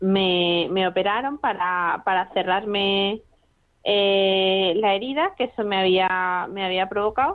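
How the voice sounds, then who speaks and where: Her medium-pitched voice moving at a very slow pace, a woman speaks with fairly even intonation and very even loudness. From Spain, Madrid. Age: 20s. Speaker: medical student. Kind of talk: radio interview. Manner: halting, repeats words.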